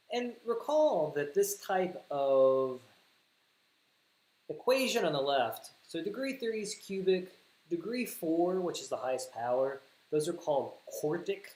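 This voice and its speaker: With a Southern US accent, a man speaks in a high voice with very wide pitch swings, at a fairly slow pace and with long, frequent pauses. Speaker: math teacher. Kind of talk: livestream math tutorial. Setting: livestream.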